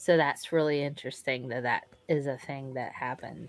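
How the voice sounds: Talking at a fairly quick pace, a woman with a very deep, low pitch keeps a monotone, flat intonation. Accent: Southern US.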